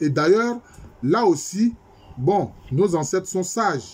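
A man speaking at a very slow pace. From Ivory Coast. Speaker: history professor. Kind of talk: lecture. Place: home room. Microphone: webcam.

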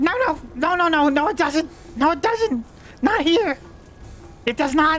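A put-on, high-pitched character voice speaks very slowly over clear background noise. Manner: cowardly, sarcastic, grumbling.

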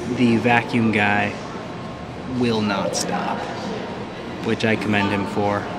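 Loud background noise dominates the clip. Through it, a man's voice comes across. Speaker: vlogger. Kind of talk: casual vlog chat. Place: station. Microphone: phone near.

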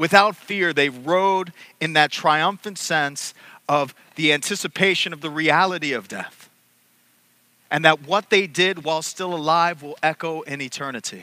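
With a bright, sharp tone, a man speaks at a moderate pace with ordinary pitch variation, the sound dry with no echo. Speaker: priest. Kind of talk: sermon. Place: church. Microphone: headset.

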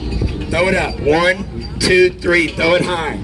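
A man speaks at a fairly slow pace in an animated tone, with noticeable background noise. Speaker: street performer. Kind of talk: street performer crowd-work pitch, coaxing cheers and tips. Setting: outdoors at a festival with live audience. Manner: cheeky, joking and animated. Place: street. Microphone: camera far.

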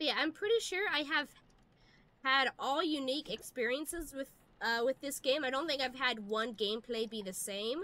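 Raising and projecting her high voice, a woman speaks at a moderate pace with lively intonation. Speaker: VTuber gaming streamer. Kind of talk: live gameplay commentary. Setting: live stream. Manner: animated.

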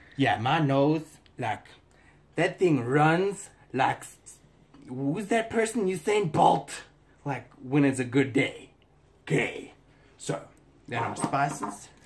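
A somewhat breathy man at a very slow pace, with long, frequent pauses. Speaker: home cook host. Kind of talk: casual cooking vlog chat. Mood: jokey, playful. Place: kitchen. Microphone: phone near.

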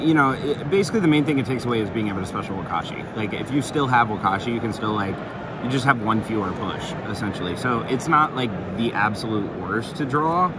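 A man talks at a very fast pace over loud background noise, the sound dry with no echo. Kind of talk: casual deck explanation. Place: hall. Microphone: phone near.

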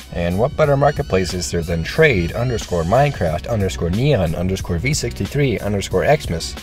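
A man's very deep, low voice at a fairly quick pace, with very wide pitch swings and music in the background. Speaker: gaming video creator. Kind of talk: video essay narration.

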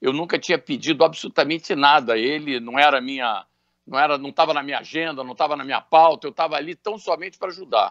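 The speech comes at a very fast pace in a dry sound with no echo over a quiet background. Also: man, fairly high pitch for a man, ordinary pitch variation, big swings in loudness. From Brazil. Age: 60s. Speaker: businessman; interviewee. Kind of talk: radio interview. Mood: serious, earnest. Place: home room. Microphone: video call.

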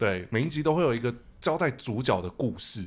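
Lively intonation carries the man's speech along at a moderate pace. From Taiwan. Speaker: podcast host. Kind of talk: casual chat. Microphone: studio mic.

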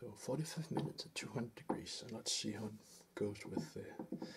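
A soft-spoken voice over noticeable background noise. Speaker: home cook. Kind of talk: soft-spoken cooking video. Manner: rambling, casual. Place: kitchen.

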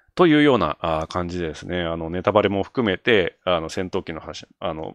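A man talks in a very deep, low pitch. The background is quiet and the sound is dry, with no echo. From Japan. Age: 40s. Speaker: solo video creator. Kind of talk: casual solo talk. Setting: late-night solo broadcast. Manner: animated. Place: home room. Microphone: studio mic.

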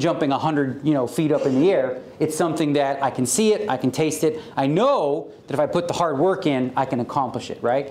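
With hardly any pauses, a man talks at a fairly quick pace with ordinary pitch variation and audible room echo. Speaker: guest. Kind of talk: motivational talk. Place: hall. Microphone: handheld.

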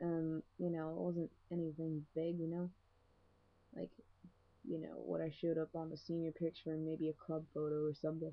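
At a moderate pace with long, frequent pauses, a soft-spoken woman talks in a very deep, low voice with monotone, flat intonation. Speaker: video blogger. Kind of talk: casual vlog monologue. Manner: hesitant, many fillers. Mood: relaxed, amused storytelling. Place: home room. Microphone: webcam.

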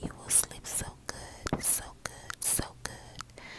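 Loud background noise surrounds a woman speaking at a very slow pace. Her tone is soothing. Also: dry sound with no echo. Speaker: ASMR creator. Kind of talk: ASMR sleep whisper. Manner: loud whisper, close to the microphone, slow and soothing. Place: car. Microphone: earbuds.

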